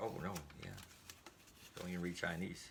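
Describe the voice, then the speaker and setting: Against audible room echo, a man with a very deep, low pitch speaks at a fairly quick pace. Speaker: YouTuber doing product unboxing. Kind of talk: casual unboxing video. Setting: indoors at home. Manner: fast.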